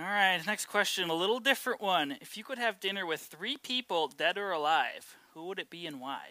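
The speaker moves at a fairly quick pace with hardly any pauses. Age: 30s. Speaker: video crew member and interviewer. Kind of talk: casual interview.

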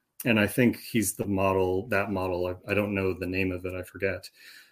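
A man with a fairly low pitch, in a very clean recording with a silent background. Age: 40s. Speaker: Greek language teacher. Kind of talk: casual interview.

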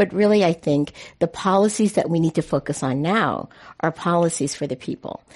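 Against a quiet background, someone speaks at a fairly quick pace in a West Coast US accent. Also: woman, fairly low pitch for a woman, ordinary pitch variation. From San Francisco. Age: 60s. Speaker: city politician. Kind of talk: panel discussion. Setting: stage with audience.

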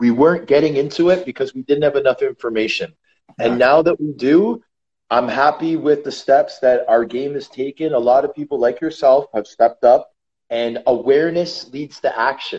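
Speaking at a moderate pace, a man with a fairly high pitch uses a normal speaking voice with ordinary pitch variation. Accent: Canadian. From Canada. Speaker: retired professional hockey player. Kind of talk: casual interview.

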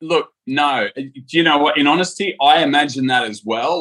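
A man talks with an Australian accent. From Sydney, Australia. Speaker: reality TV contestant. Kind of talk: interview. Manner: halting, with fillers.

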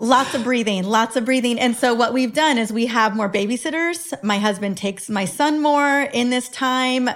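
A woman with a high pitch talks at a moderate pace amid noticeable background noise. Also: ordinary pitch variation, hardly any pauses. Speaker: women's health expert and author. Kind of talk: casual interview chat.

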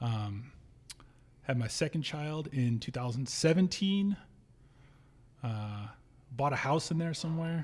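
Speaking at a fairly slow pace with long, frequent pauses, a man with a fairly high pitch sounds somewhat breathy in an American accent. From Nevada, US. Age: 30s. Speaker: bar owner and punk musician. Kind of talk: casual chat.

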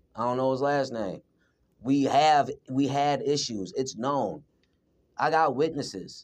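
A man at medium pitch with ordinary pitch variation. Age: 30s. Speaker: employee under workplace investigation. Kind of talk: workplace investigation interview. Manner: assertive.

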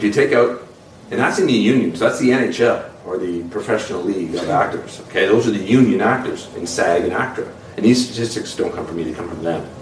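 Through audible room echo and noticeable background noise, a man's speech can be heard. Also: fairly quick pace. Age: 40s. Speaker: actor. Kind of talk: interview.

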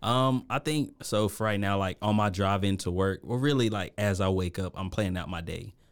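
In an American accent, a man with an unremarkable speaking voice talks at a moderate pace in a fairly low pitch with ordinary pitch variation. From US Virgin Islands. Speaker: restaurant director of operations, chef. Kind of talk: interview.

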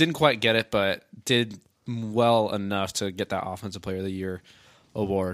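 In a normal speaking voice, a man of fairly low pitch talks at a moderate pace with ordinary pitch variation, recorded very cleanly against a silent background. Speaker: sports podcast co-host. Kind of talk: casual sports talk podcast.

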